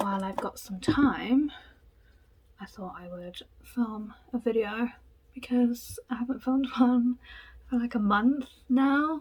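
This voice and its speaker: Amid noticeable background noise, a woman with a high pitch speaks at a very slow pace with long, frequent pauses, big swings in loudness, and ordinary pitch variation. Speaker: makeup artist. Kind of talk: casual chat. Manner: chatty.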